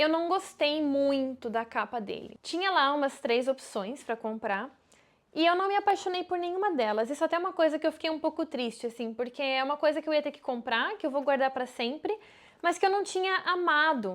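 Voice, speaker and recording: A woman speaks at a fairly quick pace with lively intonation and a high pitch, on a very clean recording with a silent background. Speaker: travel vlogger. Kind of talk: casual vlog talk.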